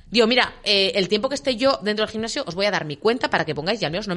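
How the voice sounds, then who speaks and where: Here a woman speaks with lively intonation. Her pitch sits in the medium range. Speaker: radio co-host. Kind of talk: casual chat. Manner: fast.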